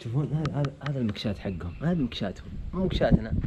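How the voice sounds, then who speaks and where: Fairly quick male speech, its pitch swinging very widely. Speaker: vlogger. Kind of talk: travel vlog.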